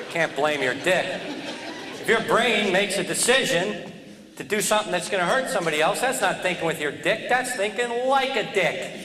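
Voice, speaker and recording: Over noticeable background noise and audible room echo, a man with an American accent projects a raised, high-pitched voice at a fairly quick pace with lively intonation. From US Northeast, New Jersey. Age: 40s. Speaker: comedian. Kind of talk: stand-up.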